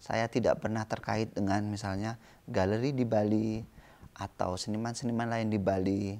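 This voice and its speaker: This man's voice sits fairly low in pitch, with a dark, mellow tone and monotone, flat intonation. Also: moderate pace. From Indonesia. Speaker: visual artist; interviewee. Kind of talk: interview. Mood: calm, reflective. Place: garden. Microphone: lapel.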